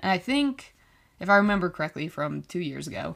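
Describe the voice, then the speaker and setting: A woman at a fairly low pitch, on a very clean recording with a silent background. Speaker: college student podcaster. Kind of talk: casual monologue.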